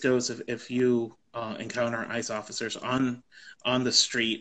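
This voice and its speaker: In an American accent, a man speaks at a fairly slow pace. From US South, Texas Rio Grande Valley; Texas. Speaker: immigrant rights policy advocate. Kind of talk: know-your-rights explainer in a live conversation. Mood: calm, informative. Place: home room. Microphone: video call.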